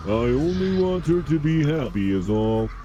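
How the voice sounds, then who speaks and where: Amid clear background noise, a put-on character voice at a low-to-middle pitch talks at a moderate pace. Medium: video game.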